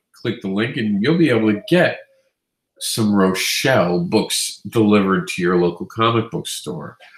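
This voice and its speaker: His pitch swings very widely. There is a somewhat breathy quality to this man's voice. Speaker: comics news show host. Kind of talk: news roundup. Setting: live stream.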